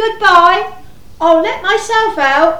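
A woman's put-on character voice, extremely high-pitched, bright and sharp in tone, slow, with ordinary pitch variation and audible room echo

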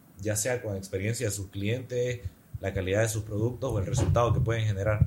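Somewhat breathy, a man talks with a medium pitch. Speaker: advertising professional and content creator. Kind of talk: casual interview chat.

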